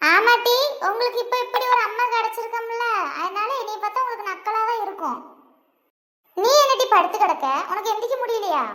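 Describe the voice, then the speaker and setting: A woman performs a loud, cartoonish character voice at an extremely high pitch. Her pace stays moderate. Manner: loud, bossy, scolding.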